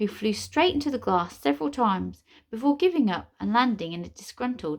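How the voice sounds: This is a natural reading voice. The speaker reads in it throughout.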